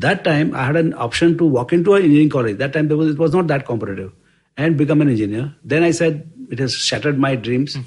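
A man at a very fast pace, fairly high in pitch, with ordinary pitch variation. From India (village, later Bombay). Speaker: investment firm co-founder. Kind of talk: interview storytelling. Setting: office. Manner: hesitant, with fillers.

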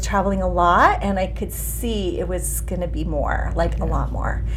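A woman at a fairly quick pace with music in the background. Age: 50s. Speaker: former sales director, meetup organizer. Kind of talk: casual interview chat.

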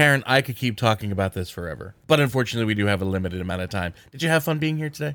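Lively in intonation and fairly low in pitch, a man with an American accent talks at a very fast pace with hardly any pauses, on a very clean recording with a silent background. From southern New Jersey. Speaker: podcast host. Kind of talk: interview.

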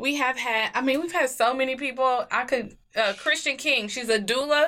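Speaking with an American accent, a woman uses a raised, projected voice, high in pitch, bright and sharp in tone, and animated. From Kansas City, Missouri. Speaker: model and entrepreneur. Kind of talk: casual chat.

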